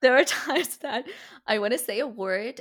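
A woman with an Iranian accent at a moderate pace, her intonation lively, in a very clean recording over a silent background. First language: Farsi. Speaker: podcast host. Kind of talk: interview conversation.

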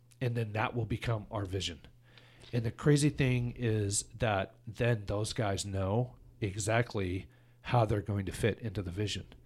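A somewhat breathy voice moves at a fairly slow pace with fairly even intonation on a very clean recording with a silent background. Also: man, fairly low pitch for a man. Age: 50s. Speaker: podcast host and tech company president. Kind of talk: casual interview chat.

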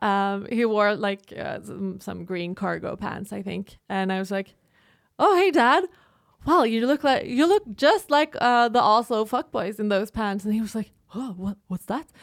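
In a Norwegian accent, a woman with a fairly high pitch speaks at a fairly slow pace and with lively intonation. The recording is very clean and dry, close with no echo, over a silent background. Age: 30s. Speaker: podcast co-host and journalism student. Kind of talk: casual chat.

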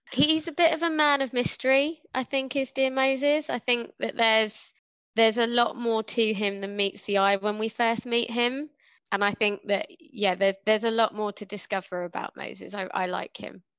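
Heard dry and close with no echo, a woman speaks in a normal speaking voice at a moderate pace, with a fairly high pitch and ordinary pitch variation. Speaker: podcast co-host. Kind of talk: casual chat.

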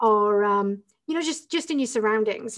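A woman speaks with an English accent. Her pace is fairly quick and her pitch varies in an ordinary way. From northern England. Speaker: entrepreneur and business coach. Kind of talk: interview.

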